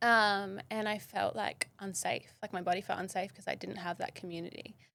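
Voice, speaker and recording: A woman's medium-pitched, bright, sharp voice with an Australian accent, monotone and flat in intonation, at a moderate pace. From Western Australia, south of Perth. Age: 30s. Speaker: model and wellness educator. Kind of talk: podcast interview. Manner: casual, frequent 'like' fillers.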